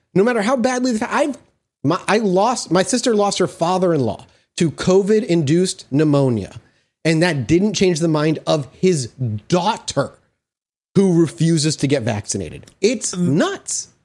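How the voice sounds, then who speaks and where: Music plays in the background as a man with a high pitch speaks at a fairly slow pace. His pitch swings very widely while his loudness stays very even. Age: 30s. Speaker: podcast host. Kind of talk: casual chat.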